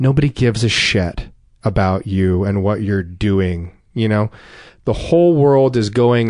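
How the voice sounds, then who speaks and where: With ordinary pitch variation, a man with a fairly low voice talks at a very slow pace against a quiet background. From North Jersey. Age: 40s. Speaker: recovering addict. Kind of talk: testimony.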